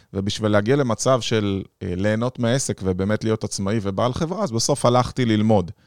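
On a very clean recording with a silent background and a dry, close sound with no echo, a man with an unremarkable speaking voice and a fairly low pitch talks at a fairly quick pace with hardly any pauses and ordinary pitch variation. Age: 40s. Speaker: podcast host, business consultant. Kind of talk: interview conversation.

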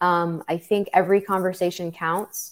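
A woman with an American accent speaks at a moderate pace in medium pitch, with an unremarkable speaking voice. The recording is very clean, with a silent background. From New York City. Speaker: birth worker and podcaster. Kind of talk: interview.

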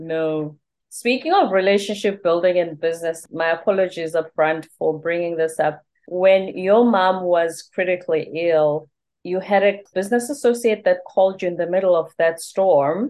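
The speaker has a Zulu accent and ordinary pitch variation. The pace is moderate. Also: woman, medium pitch for a woman. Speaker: podcast host. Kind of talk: interview.

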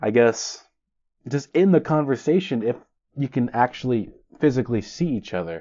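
A man's unremarkable speaking voice, medium in pitch, with lively intonation. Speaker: podcast host. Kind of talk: solo podcast monologue. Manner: self-deprecating, joking.

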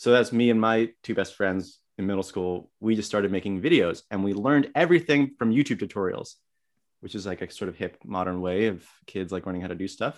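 Talking at a fairly quick pace, a man with an American accent and a plain, everyday voice has a fairly low pitch and ordinary pitch variation, in a very clean recording with a silent background. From New Jersey. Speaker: comedian. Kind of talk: casual chat.

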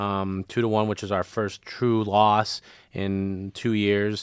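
Monotone, flat delivery in an American accent, dry and close with no echo, on a very clean recording with a silent background. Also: man. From Michigan, Lansing. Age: 30s. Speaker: soccer coach. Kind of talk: casual interview.

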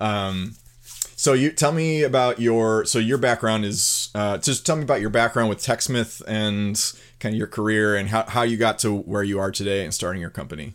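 A man with a normal speaking voice talks at a fairly low pitch and a moderate pace, with ordinary pitch variation. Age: 30s. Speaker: podcast host, video production company founder. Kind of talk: casual interview.

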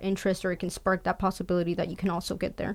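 With an American accent, a woman speaks at a medium pitch in a monotone, flat delivery. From US, migrant farm family between Florida and Michigan. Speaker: mechanical engineer. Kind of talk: panel interview.

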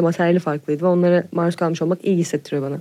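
The voice has a dark, mellow tone. Its intonation is fairly even. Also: woman. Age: 20s. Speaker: singer-songwriter. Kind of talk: casual chat.

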